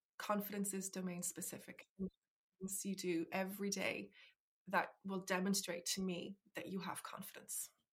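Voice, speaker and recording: A woman talks with an Irish accent at medium pitch and a moderate pace. Her voice is somewhat breathy, with monotone, flat intonation. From Ireland. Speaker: life coach. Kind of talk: interview.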